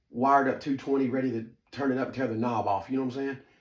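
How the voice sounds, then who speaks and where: This man has a Southern US accent and a medium pitch. He speaks at a fairly quick pace. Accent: Southern twang. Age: 40s. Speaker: storyteller, former fight camp insider. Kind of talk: personal storytelling monologue. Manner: casual, filler-heavy, lots of ums; animated.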